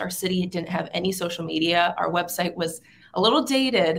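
A woman with an American accent talks at a fairly quick pace in a fairly low voice with vocal fry, over light background noise. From Southern California. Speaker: city councilwoman; local city council member. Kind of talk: interview. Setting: video call. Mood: warm, grateful.

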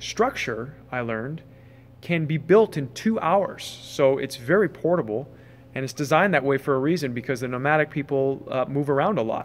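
This man talks at a moderate pace. His pitch varies in an ordinary way. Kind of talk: casual vlog chat. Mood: relaxed and upbeat. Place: tent. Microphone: phone near.

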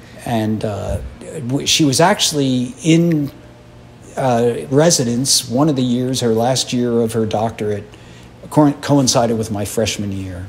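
Speaking at a fairly slow pace with ordinary pitch variation, a man with an American accent is heard over light background noise. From US, Philadelphia; Pennsylvania. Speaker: retired orchestra percussionist and educator; educator. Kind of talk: interview; interview answer. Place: hall. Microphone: handheld.

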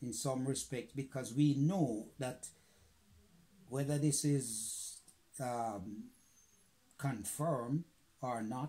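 A man speaks very slowly in a dark, mellow, somewhat breathy tone with ordinary pitch variation and long, frequent pauses. Light background noise sits behind him. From Jamaica. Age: 90s. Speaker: war veteran. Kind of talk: interview answer. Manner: deliberate, measured. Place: home room. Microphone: phone near.

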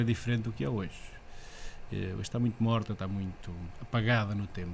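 A man with a European Portuguese accent, medium pitch, fairly quick pace, light background noise. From central Portugal. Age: 40s. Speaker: local election candidate. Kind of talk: casual interview. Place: studio. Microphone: studio mic.

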